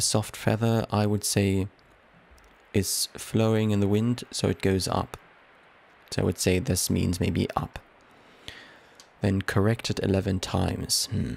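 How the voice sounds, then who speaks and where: A man's fairly low voice with very even loudness and fairly even intonation, broken by long, frequent pauses. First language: not English. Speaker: let's play gamer. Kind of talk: gameplay commentary. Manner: halting, self-correcting.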